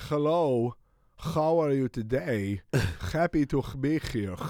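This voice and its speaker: Put-on male character voice in a Hebrew accent, guttural and medium-pitched, fairly slow with lively intonation. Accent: fake Hebrew, phlegmy. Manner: mocking.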